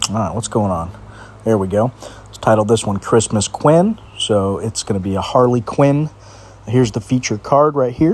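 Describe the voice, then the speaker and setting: Noticeable background noise accompanies a man's voice. He talks at a moderate pace with ordinary pitch variation. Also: medium pitch for a man. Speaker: mobile card game youtuber. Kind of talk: gameplay commentary. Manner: casual.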